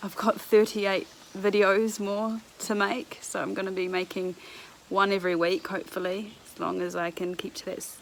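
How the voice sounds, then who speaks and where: Noticeable background noise sits behind a woman with a New Zealand accent. Her intonation is fairly even, while her loudness swings widely. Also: medium pitch for a woman, moderate pace. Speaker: vlogger. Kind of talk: casual vlog chat. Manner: casual, with fillers.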